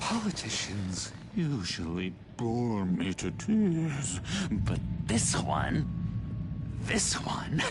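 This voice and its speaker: Over loud background noise, a put-on character voice speaks at a very slow pace with very even loudness and long, frequent pauses. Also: man. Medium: video game. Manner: playful, insinuating, giggly.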